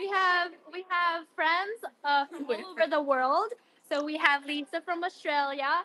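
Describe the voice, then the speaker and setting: A woman's raised, projected voice at an extremely high pitch, with ordinary pitch variation and a fairly slow pace. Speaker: guest joining remotely. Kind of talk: casual chat. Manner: loud; animated.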